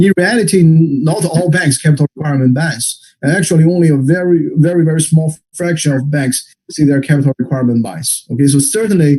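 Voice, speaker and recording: With ordinary pitch variation, this somewhat breathy voice carries a dark, mellow tone. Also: man. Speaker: economics researcher presenting a paper. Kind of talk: academic seminar presentation. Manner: fast; repetitive stammering.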